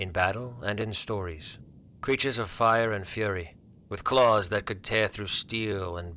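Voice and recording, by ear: Someone reads aloud in a natural voice, the pitch rising and falling in an ordinary way.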